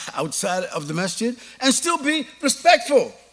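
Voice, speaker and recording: A man talks with a New York accent. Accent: New York American. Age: 70s. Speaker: Islamic preacher. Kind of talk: lecture Q&A.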